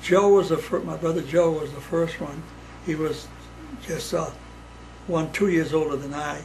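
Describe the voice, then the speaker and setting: There is audible room echo and noticeable background noise as a man with an American accent speaks at a fairly high pitch. His intonation is monotone and flat, broken by long, frequent pauses. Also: moderate pace. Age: 80s+. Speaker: WWII navy veteran. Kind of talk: casual family interview. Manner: halting.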